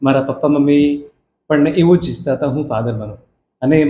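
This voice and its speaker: A man with a Karnataka accent, fairly high-pitched, somewhat breathy, dark and mellow in tone, with fairly even intonation. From Karnataka, India (Hassan district village). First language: Kannada (speaking Gujarati). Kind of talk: interview.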